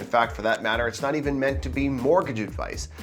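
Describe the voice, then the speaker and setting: A man speaks with a Canadian accent. Music plays in the background. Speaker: mortgage broker. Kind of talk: casual talk to camera. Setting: scratchy microphone audio.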